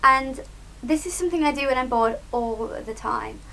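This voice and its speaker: With a British accent, a woman speaks at a moderate pace. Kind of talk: casual talk to camera. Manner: chatty, upbeat.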